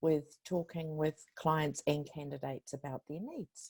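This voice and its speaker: A woman with a New Zealand accent speaks fairly slowly in a very deep, low pitch. The sound is dry and close, with no echo. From New Zealand, Waikato (Te Awamutu). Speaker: client and candidate care staff. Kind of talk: webinar panel talk. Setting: online webinar.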